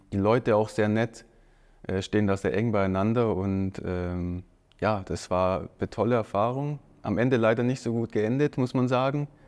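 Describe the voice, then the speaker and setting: A man's fairly low voice at a moderate pace, with ordinary pitch variation, over a quiet background. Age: 30s. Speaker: professional footballer. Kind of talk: casual interview. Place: studio. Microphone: lapel.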